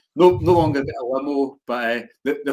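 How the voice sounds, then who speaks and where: In a Glasgow accent, a man speaks at a moderate pace with medium pitch and ordinary pitch variation. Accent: Scottish, Glasgow. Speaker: football blogger, podcast co-host. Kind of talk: casual chat.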